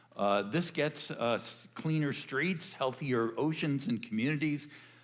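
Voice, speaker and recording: Fairly slow and very even in loudness, a man talks with fairly high pitch and ordinary pitch variation, with audible room echo. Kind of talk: church announcement. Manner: halting, many fillers.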